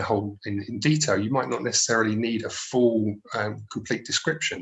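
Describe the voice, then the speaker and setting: Speaking with a medium pitch, a man keeps a moderate pace and shows ordinary pitch variation. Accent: South London. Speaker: accessibility expert. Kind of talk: webinar presentation. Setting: live webinar. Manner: hesitant, many fillers.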